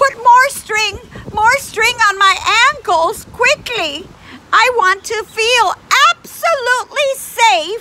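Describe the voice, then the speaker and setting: An extremely high put-on character voice from a woman, very slow, with ordinary pitch variation. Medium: read story.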